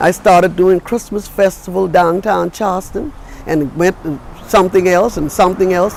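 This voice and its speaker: Against noticeable background noise, a woman with an American accent speaks at medium pitch. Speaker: storyteller. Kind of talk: interview answer.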